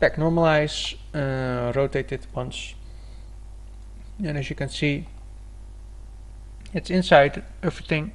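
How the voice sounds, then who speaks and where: Long, frequent pauses break up this man's speech. He talks at a very slow pace. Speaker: 3D artist, tutorial maker. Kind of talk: software tutorial narration. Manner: slight stutter.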